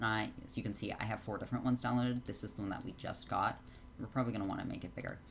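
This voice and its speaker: Vocal fry colors a man's speech, which has ordinary pitch variation. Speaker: Sims 4 custom content creator. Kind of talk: tutorial. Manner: fast; many filler words.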